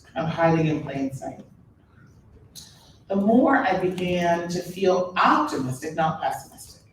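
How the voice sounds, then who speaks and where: A woman with a fairly low voice speaks at a fairly slow pace, leaving long, frequent pauses, over noticeable background noise and audible room echo. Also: ordinary pitch variation. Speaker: author and speaker. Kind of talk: public talk. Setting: stage with audience.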